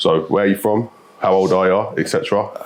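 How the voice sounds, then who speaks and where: A man speaks with a South London accent over noticeable background noise. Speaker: podcast host. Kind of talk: casual interview chat.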